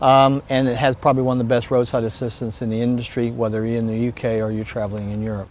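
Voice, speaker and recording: Through noticeable background noise, a man with an American accent talks at a fairly quick pace. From United States. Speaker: motorhome sales expert. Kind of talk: product demonstration interview.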